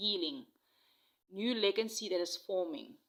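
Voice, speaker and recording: The woman's tone is bright and sharp. She speaks at a moderate pace. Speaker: tarot and oracle reader. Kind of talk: intuitive spiritual reading. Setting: outdoors in nature. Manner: halting, with frequent fillers.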